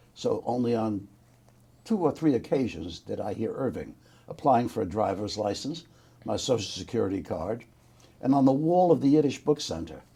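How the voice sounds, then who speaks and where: A man with a New York accent speaks in a dark, mellow tone with vocal fry, his pitch swinging very widely. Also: medium pitch for a man, moderate pace. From New York City, the Bronx. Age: 80s+. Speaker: war veteran. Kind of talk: oral history interview.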